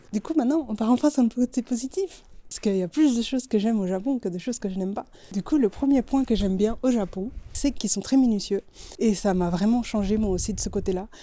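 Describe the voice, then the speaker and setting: A woman talks at a very fast pace with a fairly high pitch. Her tone is dark and mellow, with ordinary pitch variation. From Belgium. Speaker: UI designer and street photographer. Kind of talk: casual vlog talk to camera. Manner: casual, chatty.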